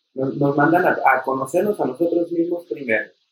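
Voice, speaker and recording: A man speaks in a normal speaking voice. His pace is moderate, with ordinary pitch variation. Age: 30s. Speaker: temazcal leader and traditional healer. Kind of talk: casual chat.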